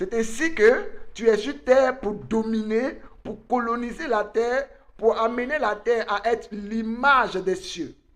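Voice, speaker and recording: This man speaks at an extremely high pitch for a man. His pace is very slow, and his pitch varies in an ordinary way. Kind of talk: online conference talk, sermon-like.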